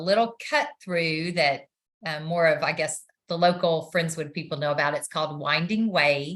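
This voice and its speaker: A bright, sharp tone with a slight Texan accent, fairly even intonation, and a quiet background. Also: woman. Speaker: nurse practitioner. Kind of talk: interview. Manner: hesitant, many fillers.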